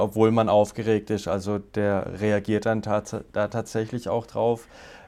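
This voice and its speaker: A man with a fairly low pitch speaks at a fairly slow pace in a monotone, flat intonation. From Baden, southwest Germany. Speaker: agency CEO. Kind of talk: interview.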